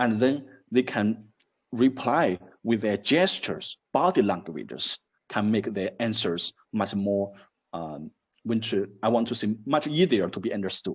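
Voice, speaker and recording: Speaking with a Chinese accent, a man talks at a medium pitch and a fairly slow pace. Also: lively intonation. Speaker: university dean. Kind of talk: interview. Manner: halting.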